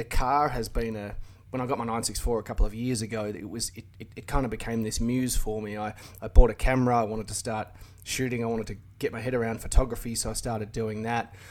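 A man with an Australian accent speaks at a fairly quick pace. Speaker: car YouTuber. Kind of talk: casual chat. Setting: remote call.

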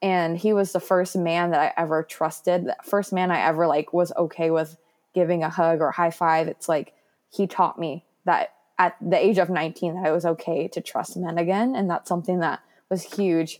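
Speaking at a moderate pace, a woman with an unremarkable speaking voice keeps a fairly low pitch and fairly even intonation. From US West Coast. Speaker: former foster youth and adoptee. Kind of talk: personal testimony in interview.

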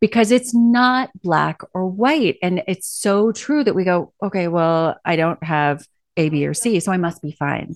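A woman with a plain, everyday voice speaks at a fairly slow pace in a medium pitch, with hardly any pauses. The sound is dry and close with no echo, over a quiet background. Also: lively intonation. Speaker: podcast host and journalist. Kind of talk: interview intro and casual conversation.

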